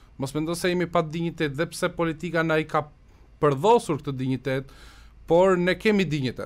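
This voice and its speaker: Using ordinary pitch variation, a man with a fairly high pitch talks at a fairly quick pace. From Albania, Korçë; Albania. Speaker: Albanian emigrant commentator in US media. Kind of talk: radio interview. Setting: radio studio. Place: studio. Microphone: studio mic.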